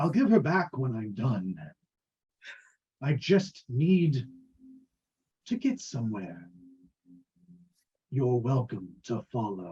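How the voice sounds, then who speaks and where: Putting on a character voice, a man speaks very slowly at a medium pitch, with long, frequent pauses. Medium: actual play. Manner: polite, menacing, self-assured.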